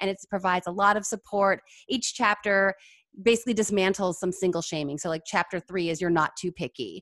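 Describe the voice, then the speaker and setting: Recorded very cleanly against a silent background, an ordinary speaking voice talks at a fairly quick pace with ordinary pitch variation. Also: woman, medium pitch for a woman. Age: 30s. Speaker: psychologist and dating coach. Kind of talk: casual interview.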